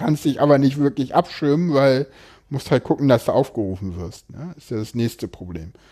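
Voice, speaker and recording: A man's medium-pitched, dark, mellow voice at a moderate pace, with lively intonation, on a very clean recording with a silent background. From Berlin, Germany. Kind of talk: casual interview conversation.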